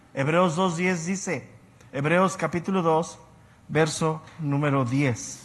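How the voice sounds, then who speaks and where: Audible room echo surrounds a man speaking very slowly with a fairly high pitch and fairly even intonation. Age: 60s. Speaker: Bible teacher. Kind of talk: lecture.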